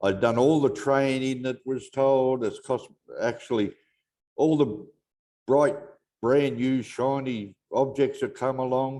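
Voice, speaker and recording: A man with an Australian accent speaks very slowly in a dark, mellow tone, his intonation fairly even and his speech broken by long, frequent pauses. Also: medium pitch for a man. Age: 70s. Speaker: network marketing member. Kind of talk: testimony.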